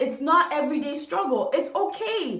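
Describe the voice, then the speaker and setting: Animated in tone, a woman speaks at a moderate pace with very wide pitch swings, and audible room echo surrounds her voice. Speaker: YouTube commentator. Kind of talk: video commentary.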